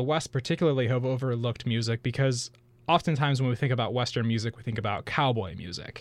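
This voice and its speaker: A man's plain, everyday voice with an American accent, medium in pitch, at a fairly quick pace. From Wisconsin. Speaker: history graduate student. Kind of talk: interview. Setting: studio.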